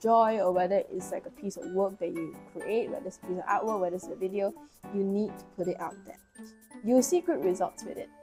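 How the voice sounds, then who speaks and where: Over music in the background, a woman speaks at a fairly quick pace with a medium pitch and ordinary pitch variation. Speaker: tarot reader. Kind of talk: tarot reading to camera. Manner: casual, encouraging.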